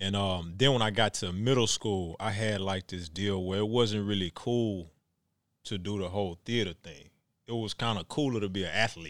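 A man with an American accent speaks in a plain, everyday voice at a moderate pace, with ordinary pitch variation. The recording is very clean, with a silent background. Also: fairly low pitch for a man. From Texas, Houston. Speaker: actor. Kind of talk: casual interview chat.

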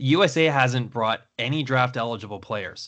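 In a Canadian accent, a man speaks at a moderate pace and medium pitch. His tone is bright and sharp, with ordinary pitch variation. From Canada. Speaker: hockey podcast host. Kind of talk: casual chat.

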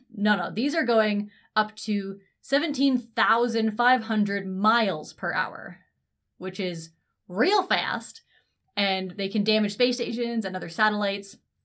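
A woman with a Canadian accent speaks fairly slowly in a normal speaking voice, her pitch fairly high. Her pitch varies in an ordinary way, and the recording is very clean with a silent background. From Canada, Ontario near Toronto. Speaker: science communicator podcast co-host. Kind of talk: casual chat.

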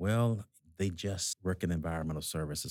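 A man with a very deep, low pitch speaks in a Southern US accent at a very fast pace with ordinary pitch variation. The sound is dry and close with no echo, on a very clean recording with a silent background. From US South, Georgia. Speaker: hospital executive. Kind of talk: interview conversation.

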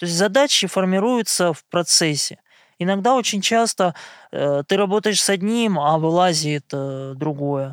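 The sound is dry and close with no echo as a man speaks at a fairly slow pace, his high pitch carrying lively intonation. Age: 30s. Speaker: blind massage therapist. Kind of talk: interview monologue.

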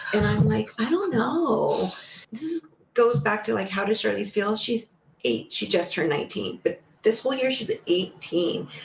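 Fairly slow speech from a woman, with noticeable noise behind it. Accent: American. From Los Angeles, California. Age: 50s. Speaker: dance mom and studio co-owner. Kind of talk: casual chat.

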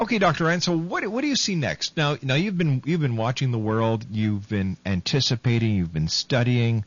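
At a moderate pace, a man speaks with very wide pitch swings, hardly any pauses and a somewhat breathy sound. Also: medium pitch for a man, very even loudness. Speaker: radio host. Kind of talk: radio talk show interview.

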